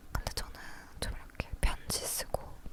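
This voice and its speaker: A woman whispering at a very slow pace amid noticeable background noise. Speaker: ASMR creator. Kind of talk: casual talk to camera. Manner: whispered, soft-spoken.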